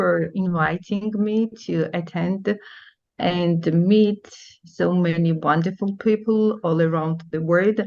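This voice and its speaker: A woman speaks with a Georgian accent at a very slow pace and fairly even intonation. The background is quiet. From Georgia (country). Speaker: teacher. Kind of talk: presentation. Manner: halting.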